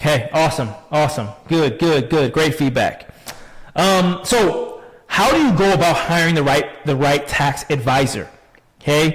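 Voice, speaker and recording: A man's animated, fairly high voice with an American accent, ordinary pitch variation, and very even loudness, set against noticeable background noise and audible room echo. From Chicago, US Midwest. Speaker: tax advisor. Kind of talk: webinar presentation. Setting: online live stream. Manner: fast.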